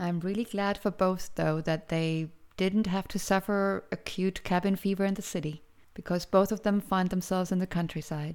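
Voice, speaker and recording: With a German accent, a woman speaks at a medium pitch with fairly even intonation. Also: moderate pace, very clean recording, silent background. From Germany. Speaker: tour guide and podcast host. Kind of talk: scripted narration. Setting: home recording.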